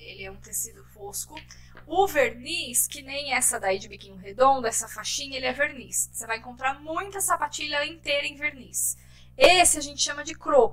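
The speech moves at a moderate pace with big swings in loudness. Noticeable background noise runs underneath. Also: woman. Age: 30s. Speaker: shoe business owner. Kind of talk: casual interview.

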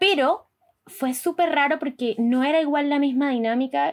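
A woman with an ordinary speaking voice keeps a moderate pace and uses lively intonation. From Colombia, Barranquilla. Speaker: podcast host. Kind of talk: casual chat.

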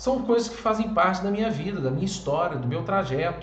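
A man talks with lively intonation, with audible room echo and noticeable background noise. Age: 30s. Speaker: men's coach, online content creator. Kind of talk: motivational monologue.

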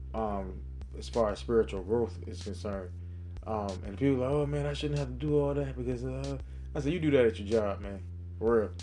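Speaking at a fairly quick pace, a man with a very deep, low pitch and a dark, mellow tone makes very wide pitch swings amid audible room echo. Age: 30s. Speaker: podcast host giving a Bible devotional. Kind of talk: devotional talk. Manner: casual, many fillers.

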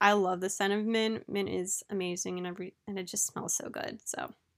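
At a moderate pace, a plain, everyday voice speaks in a very clean recording with a silent background. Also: woman. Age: late 20s. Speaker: podcast host. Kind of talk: casual solo monologue. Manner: chatty, laughing often.

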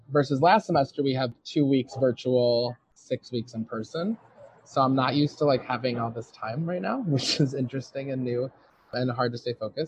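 An ordinary speaking voice with an American accent moves at a moderate pace with ordinary pitch variation. The sound is dry and close, with no echo. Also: man, medium pitch for a man. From US Midwest, suburban Detroit, Michigan. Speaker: medical student. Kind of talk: interview. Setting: outdoors on a patio.

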